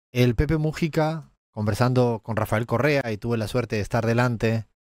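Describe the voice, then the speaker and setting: With an Andalusian accent, a man talks at a medium pitch and moderate pace, using ordinary pitch variation, in a dry, close sound with no echo. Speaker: economist and political analyst. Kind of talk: political analysis commentary.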